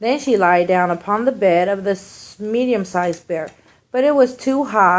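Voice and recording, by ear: A passage is read aloud. It comes across in a natural voice.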